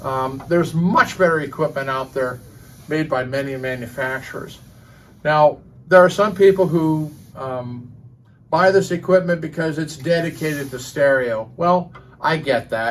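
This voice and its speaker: A man speaks with fairly high pitch. His voice is somewhat breathy. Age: 60s. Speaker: hi-fi audio commentator. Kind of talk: casual opinion monologue. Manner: hesitant, many fillers.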